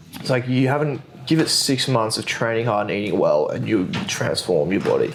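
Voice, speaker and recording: Noticeable background noise accompanies speech at a fairly quick pace. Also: man. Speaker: gym owner and fitness coach. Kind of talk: casual chat.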